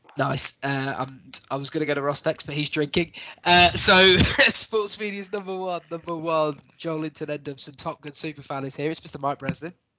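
A man with an English accent, a fairly high pitch and fairly even intonation, in a dry, close sound with no echo. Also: moderate pace. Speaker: podcast host. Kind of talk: casual chat. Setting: podcast recording.

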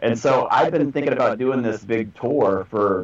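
A man with an American accent and an unremarkable speaking voice talks at a medium pitch, with ordinary pitch variation and a moderate pace. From North Texas. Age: 30s. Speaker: metal band vocalist. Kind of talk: casual interview chat.

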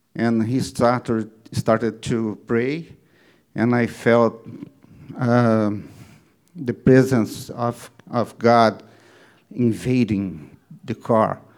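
A man with a non-native accent speaks very slowly at a medium pitch, with fairly even intonation and long, frequent pauses. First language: not English. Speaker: congregation member giving testimony. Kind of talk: testimony. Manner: halting.

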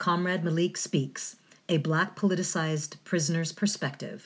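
A somewhat breathy woman's voice with a very deep, low pitch, in a very clean recording with a silent background. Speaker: radio host. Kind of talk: community radio show. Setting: radio studio. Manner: halting, many fillers.

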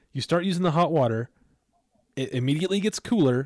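A man with an unremarkable speaking voice talks at a moderate pace with lively intonation. The sound is dry and close with no echo, and the recording is very clean with a silent background. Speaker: podcast co-host. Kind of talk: casual chat.

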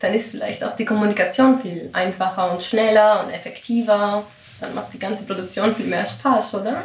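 A woman speaks at a moderate pace with a Greek accent, her pitch fairly high with ordinary variation. Audible room echo and noticeable background noise fill the recording. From Greece. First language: Greek (speaking German). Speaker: composer and podcast host. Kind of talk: interview.

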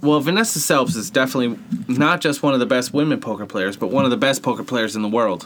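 Noticeable background noise sits under a man with an American accent. He speaks at a fairly quick pace and a medium pitch. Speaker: sports podcast co-host. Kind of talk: casual chat.

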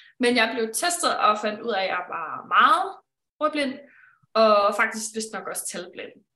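Her voice has a bright, sharp tone. The woman's intonation stays lively throughout. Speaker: branding consultant. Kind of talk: live-streamed conversation.

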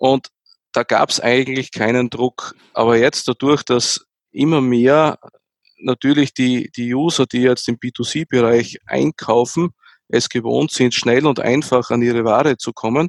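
A man with an unremarkable speaking voice talks fairly slowly at a medium pitch with fairly even intonation, the sound dry and close with no echo. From Austria, near Graz. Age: 40s. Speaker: tech executive. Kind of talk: interview.

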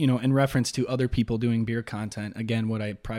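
A man speaks in a Chicago accent. His pitch sits in the medium range. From Chicago South Side. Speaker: beer content creator. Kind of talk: casual chat.

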